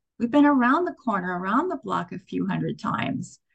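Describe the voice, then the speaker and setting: The speaker is a woman. Her voice comes across somewhat breathy. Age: 60s. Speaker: spiritual teacher. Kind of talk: sermon.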